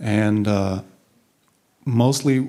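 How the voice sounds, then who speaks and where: Its tone is dark and mellow, and the pitch varies in an ordinary way. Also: man. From Portugal (Lisbon); Portugal. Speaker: designer; conference speaker. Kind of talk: conference talk. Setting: stage with audience. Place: hall. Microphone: handheld.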